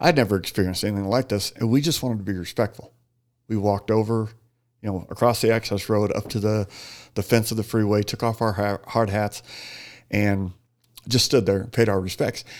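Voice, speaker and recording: A man with an American accent, fairly low pitched, at a fairly quick pace with long, frequent pauses and fairly even intonation, on a very clean recording with a silent background. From Phoenix, Arizona. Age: 40s. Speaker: retired police officer and burn survivor. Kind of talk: casual interview.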